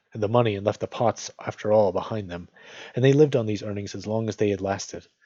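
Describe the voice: The clip features plain reading aloud, its intonation fairly even.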